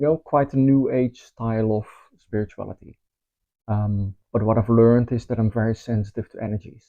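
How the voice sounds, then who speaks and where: With a Dutch accent, a man talks at a fairly quick pace. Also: medium pitch for a man. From Netherlands. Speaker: spiritual teacher. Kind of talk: course promotion talk. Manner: casual, with filler ums.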